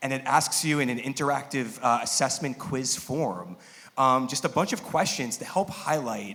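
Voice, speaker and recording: A loud, bright, sharp male voice of medium pitch with an American accent and ordinary pitch variation. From New York. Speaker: coaching company executive. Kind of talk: workshop panel talk. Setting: seminar venue with live audience. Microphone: microphone may be cutting out.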